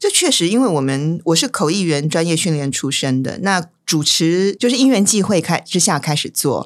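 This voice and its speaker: A woman with a Taiwanese accent at a moderate pace, hardly any pauses, lively intonation and very even loudness, in a very clean recording with a silent background. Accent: Taiwanese Mandarin. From Taiwan, Taipei. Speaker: event host and interpreter. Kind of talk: casual chat.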